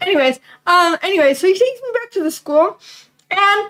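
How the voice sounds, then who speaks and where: A woman speaks loudly at an extremely high pitch. Her intonation is lively. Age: 20s. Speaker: livestreamer. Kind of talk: casual chat.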